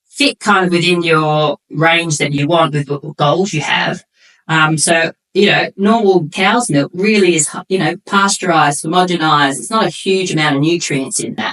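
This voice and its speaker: Moderate pace and ordinary pitch variation from a plain, everyday voice. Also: woman, fairly low pitch for a woman, dry, close sound with no echo. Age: 50s. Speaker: nutrition coach and former bodybuilder. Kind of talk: casual interview chat.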